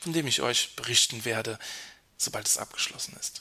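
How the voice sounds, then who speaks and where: A man talks at a moderate pace with lively intonation. His is a plain, everyday voice. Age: 30s. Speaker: podcast host. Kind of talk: reflective monologue.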